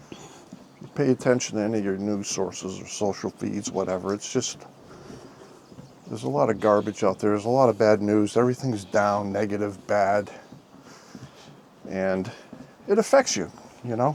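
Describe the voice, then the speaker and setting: At a moderate pace, a man speaks at a fairly low pitch with ordinary pitch variation, big swings in loudness and long, frequent pauses. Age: 60s. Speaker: retired vlogger. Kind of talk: casual chat. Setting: outdoors.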